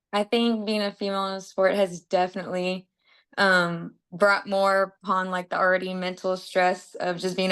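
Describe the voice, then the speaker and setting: Over a quiet background, a woman talks at a medium pitch in a monotone, flat delivery. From Texas, south of San Antonio. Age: 20s. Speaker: amateur boxer. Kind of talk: interview. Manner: fast, casual with many fillers.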